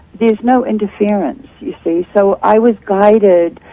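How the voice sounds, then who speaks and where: A woman of medium pitch talks at a fairly slow pace against noticeable background noise. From New Zealand. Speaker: author and speaker. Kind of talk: interview. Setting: Skype video call.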